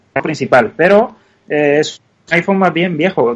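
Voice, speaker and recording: A man with a Cuban accent, moderate pace and ordinary pitch variation. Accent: Cuban, noticeable. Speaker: app developer. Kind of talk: interview. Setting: online call.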